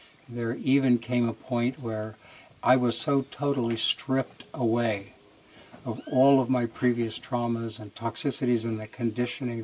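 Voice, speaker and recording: Noticeable background noise behind a man at a medium pitch, moderate in pace and fairly even in intonation. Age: 70s. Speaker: retreat participant. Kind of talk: testimony. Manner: hesitant with fillers.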